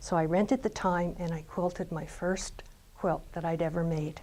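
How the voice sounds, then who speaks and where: With an unremarkable speaking voice, a woman speaks at a fairly low pitch and moderate pace, her intonation fairly even, on a very clean recording with a silent background. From Canada, Ontario. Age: 60s. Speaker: quilter. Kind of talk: personal testimony.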